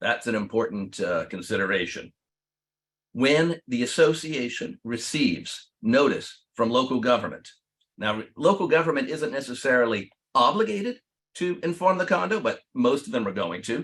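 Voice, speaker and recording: Fairly high male speech, moderately paced, full of vocal fry and very wide pitch swings. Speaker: attorney. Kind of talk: webinar presentation. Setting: online webinar.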